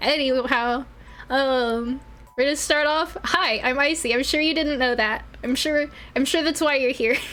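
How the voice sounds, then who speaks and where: Over noticeable background noise, a woman speaks at a moderate pace with a high pitch and very even loudness. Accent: American. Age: 20s. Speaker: vtuber streamer. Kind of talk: casual live stream chat. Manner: animated.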